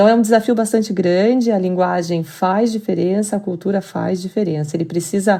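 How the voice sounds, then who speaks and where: A woman in a Curitiba accent speaks at a medium pitch and a fairly quick pace, with fairly even intonation and hardly any pauses. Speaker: business expert. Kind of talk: podcast interview.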